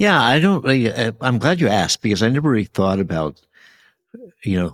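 Recorded dry and close with no echo, a man at medium pitch shows vocal fry, very wide pitch swings and very even loudness. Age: 70s. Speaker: tech executive and venture investor. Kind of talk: interview conversation. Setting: remote video call.

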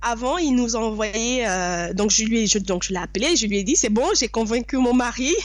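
A woman with a fairly high voice speaks at a moderate pace with lively intonation and very even loudness, hardly pausing. Audible room echo is present. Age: 30s. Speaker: real estate investor. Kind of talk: interview.

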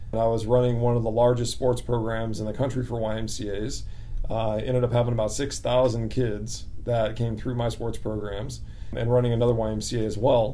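A man with an American accent talks at a moderate pace and a medium pitch, in a monotone, flat intonation. Audible room echo surrounds his voice. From Central California. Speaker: YMCA director. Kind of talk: interview.

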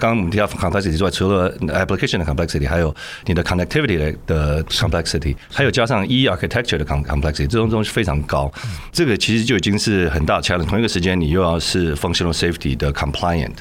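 A man with a very deep, low voice talks very fast, his intonation lively and his loudness very even. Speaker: tech company co-founder. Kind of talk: interview.

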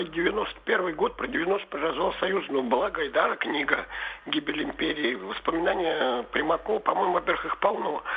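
A high-pitched man speaks with lively intonation at a moderate pace, noticeable background noise behind him. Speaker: caller. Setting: phone call.

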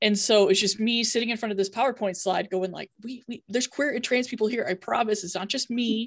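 A woman's somewhat breathy, fairly high voice at a fairly quick pace, with fairly even intonation and hardly any pauses. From Iowa, US Midwest. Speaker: university LGBTQ office director. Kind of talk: panel discussion.

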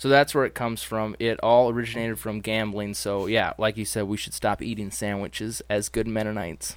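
An unremarkable speaking voice moves at a fairly quick pace with fairly even intonation and hardly any pauses, on a very clean recording with a silent background. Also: man, fairly low pitch for a man. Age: 20s. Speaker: collector and guest. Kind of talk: casual chat.

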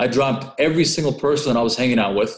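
A man at a medium pitch and moderate pace with a Californian accent, amid audible room echo. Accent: Californian American. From Southern California (Orange County), born in Russia. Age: 20s. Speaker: credit and travel hacker, entrepreneur. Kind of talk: interview.

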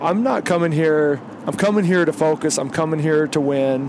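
A man speaks at a moderate pace with a fairly high pitch and ordinary pitch variation. Noticeable background noise can be heard. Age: 40s. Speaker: podcast host, competitive rifle shooter. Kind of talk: casual chat. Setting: in a vehicle on the road.

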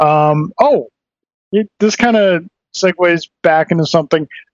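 The man's voice sits high in pitch. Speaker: podcast host. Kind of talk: casual chat. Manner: casual, joking.

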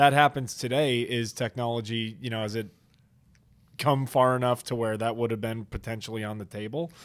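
A man with an American accent has an unremarkable speaking voice at a medium pitch, with fairly even intonation. He speaks at a fairly quick pace on a very clean recording with a silent background. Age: 20s. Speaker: podcast host and former lacrosse player. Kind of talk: casual interview chat. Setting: studio, on camera.

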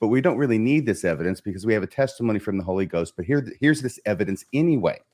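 On a very clean recording with a silent background, a man races along at a very fast pace with very wide pitch swings. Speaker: podcast host. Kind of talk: casual chat.

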